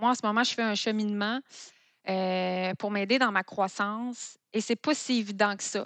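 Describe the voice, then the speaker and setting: Against a quiet background, a woman with a plain, everyday voice speaks at a medium pitch and a fairly slow pace with fairly even intonation, the sound dry and close with no echo. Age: 40s. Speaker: food entrepreneur. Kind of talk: interview.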